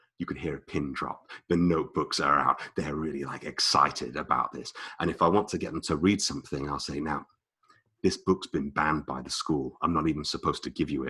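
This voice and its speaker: A man with a British accent talks at a fairly quick pace in a very deep, low pitch, his bright, sharp, animated tone carrying vocal fry and ordinary pitch variation. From Britain. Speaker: presentation skills trainer. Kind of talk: online workshop talk.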